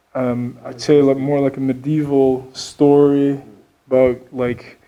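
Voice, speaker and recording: A man speaks very slowly with a non-native accent, his medium-pitched voice dark and mellow, his intonation flat and monotone, and his loudness swinging widely. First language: not English. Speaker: metal band member. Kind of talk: interview.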